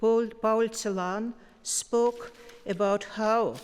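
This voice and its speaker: A woman speaks in a Russian accent at a very slow pace. Her intonation is fairly even. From Russia, Moscow. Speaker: poet, award winner. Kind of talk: acceptance speech. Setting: concert hall stage with audience.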